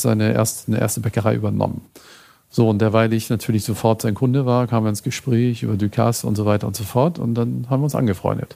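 This man's voice has a medium pitch, a dark, mellow tone and fairly even intonation. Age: 60s. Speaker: food photographer. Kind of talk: interview.

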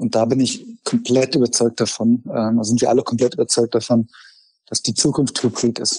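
This man has a medium pitch and a dark, mellow tone, speaking at a moderate pace with fairly even intonation. His loudness stays very even, and the sound is dry and close with no echo. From Germany, Frankfurt. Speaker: startup founder and CEO. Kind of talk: interview.

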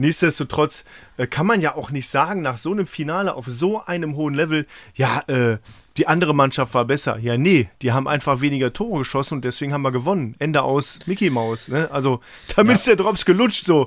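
Lively intonation and a fairly quick pace mark a normal speaking voice on a very clean recording with a silent background. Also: man, fairly high pitch for a man. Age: 30s. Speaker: podcast co-host. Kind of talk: casual chat.

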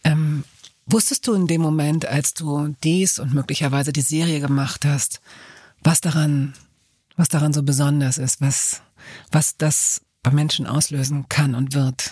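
A woman speaks with a very deep, low pitch and a dark, mellow tone that is somewhat breathy. Her intonation is fairly even, and the sound is dry and close with no echo. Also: fairly slow pace. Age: 50s. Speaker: podcast host, journalist. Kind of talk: interview. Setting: studio.

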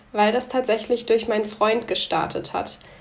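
There is noticeable background noise as a woman talks. Her voice is fairly high and flat, in a monotone. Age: 20s. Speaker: young entrepreneur. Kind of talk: podcast interview.

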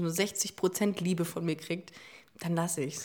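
A woman speaks at a fairly slow pace with a dark, mellow tone. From Hamburg, northern Germany. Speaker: LGBT podcast host. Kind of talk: casual chat.

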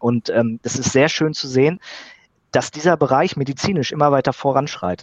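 Speaking at a moderate pace, a man with a fairly high pitch and ordinary pitch variation comes through with a dry, close sound with no echo. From Sauerland, Germany. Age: 30s. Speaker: biologist. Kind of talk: interview. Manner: halting, frequent fillers.

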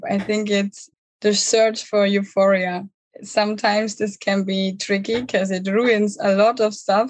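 A woman's somewhat breathy voice at a medium pitch, with monotone, flat intonation, a fairly slow pace, and a German accent. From southern Germany, near Munich. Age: 20s. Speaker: online coach for digital nomads. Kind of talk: podcast interview.

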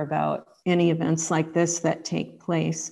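With a normal speaking voice and an American accent, a woman talks at a fairly slow pace in a fairly low pitch, using ordinary pitch variation against a quiet background. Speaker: author and editor. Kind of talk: interview.

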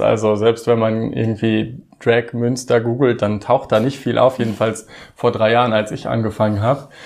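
Monotone, flat intonation at a moderate pace. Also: man. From Osnabrück region, Lower Saxony, Germany. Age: 30s. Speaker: drag queen, former church employee. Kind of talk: interview.

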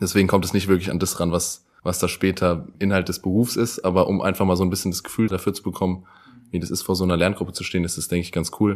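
On a very clean recording with a silent background, a man with a very deep, low pitch talks at a very fast pace in a monotone, flat intonation. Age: 20s. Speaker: teacher-training student. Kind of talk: casual interview.

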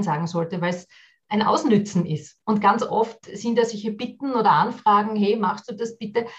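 A woman's somewhat breathy voice at a moderate pace, with ordinary pitch variation. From Austria, Vienna. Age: 40s. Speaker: business consultant and workshop trainer. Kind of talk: podcast interview.

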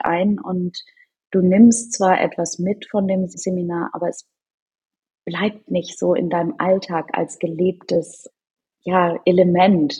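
This woman's voice is somewhat breathy with a dark, mellow tone. She speaks at a very slow pace. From Norderney, northern Germany. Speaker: charity co-founder. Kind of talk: interview.

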